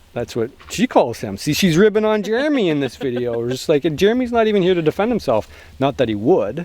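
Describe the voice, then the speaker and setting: Very fast and high-pitched, a man speaks with a Canadian accent and very wide pitch swings. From Canada. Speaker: outdoor survival vlogger. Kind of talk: casual vlog chat. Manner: joking, sarcastic.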